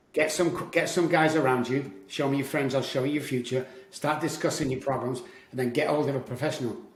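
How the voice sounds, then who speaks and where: Amid noticeable background noise and audible room echo, a man with a fairly high pitch talks at a fairly quick pace. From Manchester, northern England. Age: 60s. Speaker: addiction recovery coach. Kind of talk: podcast interview. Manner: animated.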